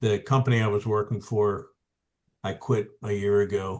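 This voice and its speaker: Over a quiet background, a man talks at a fairly slow pace. His voice is fairly low in pitch. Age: 70s. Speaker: accountant. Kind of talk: casual chat. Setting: video call.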